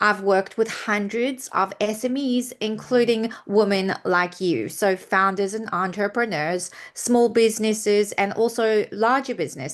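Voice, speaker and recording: Speaking at a moderate pace, a woman with a non-native accent has a fairly high voice and ordinary pitch variation. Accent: non-Australian accent that stayed. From UK and South Africa. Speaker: PR consultant. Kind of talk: presentation.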